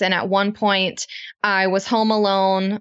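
A woman talks at a fairly slow pace in a medium pitch. It is a plain, everyday voice. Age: 20s. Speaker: business co-founder. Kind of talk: interview conversation.

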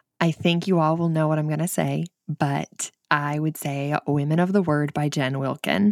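Captured in a very clean recording with a silent background, a woman with a northern Michigan accent speaks at a moderate pace in a very deep, low pitch, her loudness very even. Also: fairly even intonation, dry, close sound with no echo. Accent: northern Michigan, like Sarah Palin's. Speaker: author and mother guest. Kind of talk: casual interview chat.

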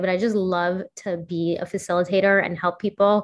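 A woman speaks at medium pitch with an American accent and fairly even intonation. The background is quiet. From New York City, Upper West Side. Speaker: social media influencer. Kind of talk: casual interview. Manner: halting, frequent repetitions and fillers.

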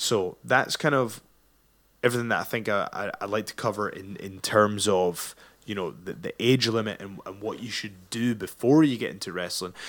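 A man with an ordinary speaking voice talks at a moderate pace in a fairly low pitch, his loudness swinging widely and his pitch varying normally, on a very clean recording with a silent background. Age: 30s. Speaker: pro wrestler and podcast host. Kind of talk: solo monologue podcast.

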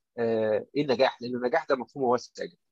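A man speaks with an Egyptian accent at a fairly quick pace. The sound is dry and close with no echo, over a quiet background. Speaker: doctor and author. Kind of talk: interview.

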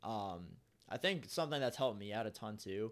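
This man has a normal speaking voice, pitched in the medium range, with lively intonation. The recording is very clean, with a silent background. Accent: American. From US Midwest, Cincinnati, Ohio. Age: 20s. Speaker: warehouse dock manager. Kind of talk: casual chat.

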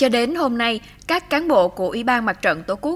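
Using an ordinary speaking voice, a woman talks at a fairly slow pace with lively intonation. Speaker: news reporter. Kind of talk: news narration. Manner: formal.

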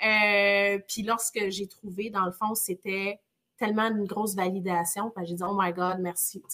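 At a fairly slow pace, a woman speaks with a bright, sharp tone at a medium pitch. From northern Quebec (Chibougamau). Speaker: real estate entrepreneur. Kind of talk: interview. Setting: live stream. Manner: energetic.

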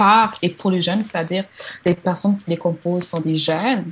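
A woman's medium-pitched voice holds fairly even intonation at a moderate pace. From DR Congo. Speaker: activist. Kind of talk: interview. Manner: halting.

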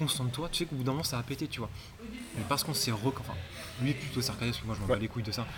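Talking at a very fast pace, a man leaves long, frequent pauses, with audible echo in the room. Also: medium pitch for a man, ordinary pitch variation. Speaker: podcast host. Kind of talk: casual interview. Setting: CrossFit gym.

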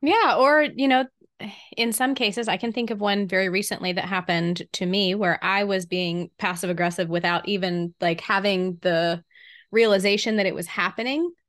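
In a Southern US accent, a woman speaks at a moderate pace and medium pitch with ordinary pitch variation. The recording is very clean with a silent background. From US South. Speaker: podcast co-host. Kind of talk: casual chat.

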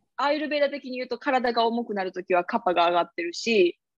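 With a Kansai accent, a woman speaks fairly quickly at a fairly high pitch, her intonation lively. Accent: Kansai (Osaka) dialect. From Osaka, Japan. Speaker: yogi and podcast co-host. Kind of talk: casual chat.

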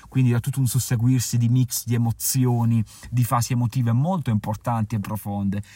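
The man's voice sits at medium pitch and is somewhat breathy. He speaks at a fairly quick pace. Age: 30s. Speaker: travel podcaster and author. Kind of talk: casual podcast monologue. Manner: halting.

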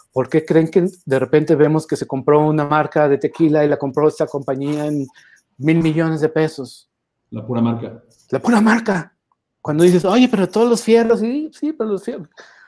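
A dark, mellow tone with lively intonation at a moderate pace, on a very clean recording with a silent background. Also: man, fairly high pitch for a man. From Mexico, Guadalajara. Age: 50s. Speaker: branding expert. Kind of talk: interview.

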